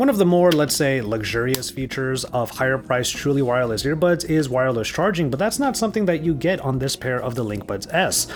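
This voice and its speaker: A man talking very fast with very wide pitch swings amid noticeable background noise. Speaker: tech reviewer. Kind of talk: product review.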